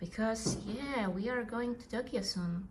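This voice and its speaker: With a non-native accent, a woman speaks slowly-ish at a fairly high pitch with ordinary pitch variation, and audible room echo surrounds her voice. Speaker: vlogger. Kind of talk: casual vlog talk to camera. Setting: at home on the couch. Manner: hesitant, with fillers.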